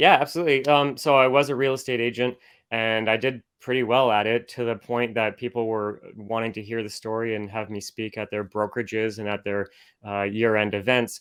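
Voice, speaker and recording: A man with a Canadian accent and an unremarkable speaking voice talks at a fairly quick pace, at medium pitch, with fairly even intonation. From Canada, Oshawa, Ontario. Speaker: business coach and public speaker. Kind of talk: podcast interview. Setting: in a motorhome, remote interview.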